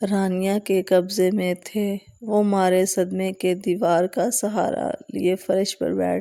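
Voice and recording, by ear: Someone reads the text aloud in their natural voice, keeping the intonation fairly even.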